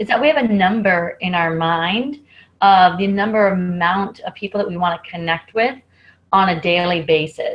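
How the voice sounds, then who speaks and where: Pitched in the medium range, a woman talks in a somewhat breathy voice. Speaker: network marketing team member. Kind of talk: team training call. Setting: video call.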